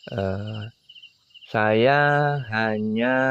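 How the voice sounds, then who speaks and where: Here a man talks at a fairly low pitch, his intonation fairly even. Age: 60s. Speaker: oil palm farmer and vlogger. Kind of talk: video vlog, casual talk to viewers. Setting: outdoors at night in a forest clearing. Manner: halting, many fillers.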